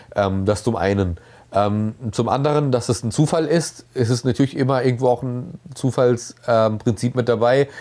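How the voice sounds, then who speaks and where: This man talks at a moderate pace with a medium pitch. His pitch variation is ordinary. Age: 30s. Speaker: interviewee. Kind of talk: interview. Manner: halting.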